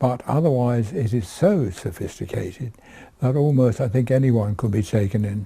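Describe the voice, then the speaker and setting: With a dark, mellow tone and a somewhat breathy quality, a man talks at a moderate pace in a medium pitch, his intonation lively. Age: 80s+. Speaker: fraud victim. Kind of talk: recorded interview.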